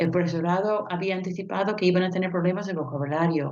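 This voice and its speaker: A woman with a non-native accent and a fairly low pitch, set against a quiet background. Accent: foreign accent in Spanish. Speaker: linguist and university language teacher. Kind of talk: conference presentation. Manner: hesitant, with fillers.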